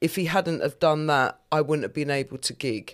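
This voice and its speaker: Very deep and low in pitch, a woman talks at a moderate pace with monotone, flat intonation, recorded very cleanly against a silent background. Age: 50s. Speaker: comedian. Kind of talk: casual chat.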